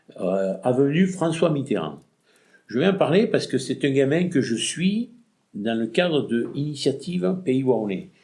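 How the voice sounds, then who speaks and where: A man with a fairly high pitch and a dark, mellow tone speaks at a very slow pace, with vocal fry and very wide pitch swings. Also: long, frequent pauses. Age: 60s. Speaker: retired shopkeeper. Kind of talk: interview. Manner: halting.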